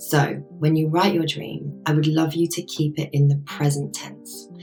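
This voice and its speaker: With music in the background, a woman speaks in a very deep, low voice with monotone, flat intonation. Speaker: life coach and yoga teacher. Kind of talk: coaching talk to camera.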